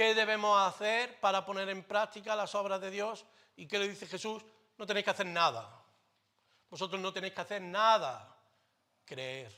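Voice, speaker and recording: A man speaks at a moderate pace in a raised, projected voice, high in pitch with a bright, sharp, animated tone. His pitch varies in an ordinary way, his loudness swings widely, and he leaves long, frequent pauses. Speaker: pastor. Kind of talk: sermon. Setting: church.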